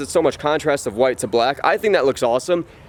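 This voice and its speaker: A man talks at a very fast pace in an animated tone. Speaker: car vlogger. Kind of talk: casual walkaround tutorial.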